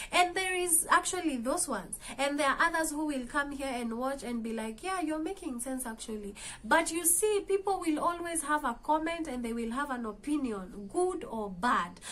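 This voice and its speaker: A woman with a Kenyan accent, high in pitch, very wide pitch swings, at a moderate pace. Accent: Kenyan English, Kamba. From Kenya, Kamba. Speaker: motivational vlogger. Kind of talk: motivational talk. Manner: hesitant, with fillers.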